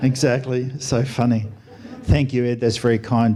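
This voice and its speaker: An Australian-accented man at medium pitch, monotone and flat, at a moderate pace, with audible room echo. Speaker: doctor and air force officer, guest speaker. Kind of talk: sermon. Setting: church stage with audience. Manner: soft-spoken; mumbling.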